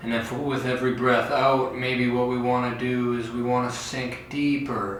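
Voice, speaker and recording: A man talks with hardly any pauses at medium pitch in a monotone, flat intonation, with audible room echo and noticeable background noise. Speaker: fitness instructor. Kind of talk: guided stretching tutorial. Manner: slow; calm, soothing.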